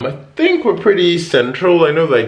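A man's fairly high voice at a moderate pace, full of very wide pitch swings

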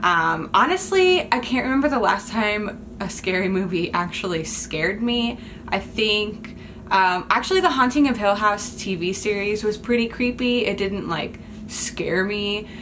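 Light background noise sits behind a woman whose pitch varies in an ordinary way. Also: fairly slow pace. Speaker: vlogger. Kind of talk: casual vlog chat. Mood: playful, nostalgic. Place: home room. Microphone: phone near.

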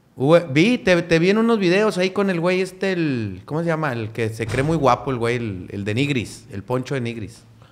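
With hardly any pauses, a man talks at a moderate pace in a fairly high voice that swings very widely in pitch, against noticeable background noise. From Monterrey, Nuevo León, Mexico. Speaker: comedian. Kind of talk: casual chat.

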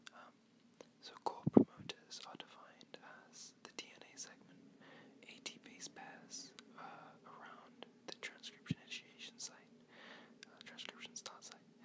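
Someone whispers at a fairly slow pace, leaving long, frequent pauses. Noticeable background noise runs underneath. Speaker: biochemistry student ASMR creator. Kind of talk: educational ASMR whisper lecture. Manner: whispered, soft-spoken.

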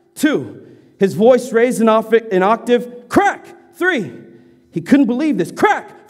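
Lively intonation in an unforced reading voice

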